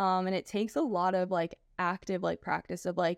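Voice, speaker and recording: Recorded very cleanly with a silent background and a dry, close sound with no echo, a woman with a plain, everyday voice speaks at a moderate pace and medium pitch. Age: 20s. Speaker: nutrition coach. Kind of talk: casual interview chat.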